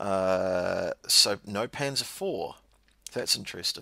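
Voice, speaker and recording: A man's bright, sharp voice with a New Zealand accent. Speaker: podcast co-host. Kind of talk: casual chat.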